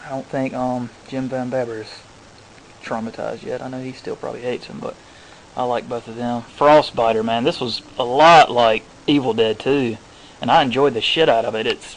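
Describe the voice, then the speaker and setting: There is noticeable background noise as a man speaks at a moderate pace and medium pitch. His intonation stays fairly even while his loudness swings a lot. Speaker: horror DVD collector vlogger. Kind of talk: casual DVD haul video. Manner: halting, many fillers.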